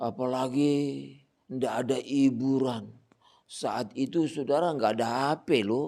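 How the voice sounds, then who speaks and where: On a very clean recording with a silent background, a man with a dark, mellow tone and medium pitch speaks very slowly, his pitch varying in an ordinary way. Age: 60s. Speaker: pastor. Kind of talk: sermon. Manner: conversational.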